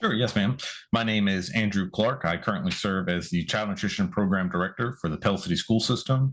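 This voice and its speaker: A plain, everyday voice from a man with an American accent, fairly low pitch, ordinary pitch variation, very even loudness and a fairly quick pace. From California. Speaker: school nutrition program director. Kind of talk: interview. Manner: polite, formal.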